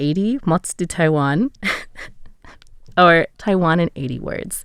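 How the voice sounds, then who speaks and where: A woman with an ordinary speaking voice, fairly low in pitch, lively in intonation, at a fairly slow pace, on a very clean recording with a silent background. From USA. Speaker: radio host. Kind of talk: interview. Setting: studio.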